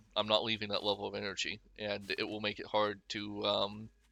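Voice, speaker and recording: This man's voice sits at a medium pitch. He talks fairly quickly. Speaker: gaming youtuber. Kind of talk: gameplay commentary. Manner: fast; casual, rambling with fillers.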